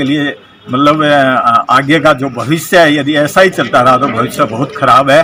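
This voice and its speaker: A man's voice sits fairly high in pitch. Music plays in the background. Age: 60s. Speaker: local political leader. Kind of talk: press statement.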